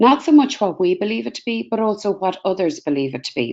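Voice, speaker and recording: A woman speaks with an Irish accent. Her pitch swings very widely. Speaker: career guidance researcher. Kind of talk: webinar presentation. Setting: webinar video call. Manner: fast.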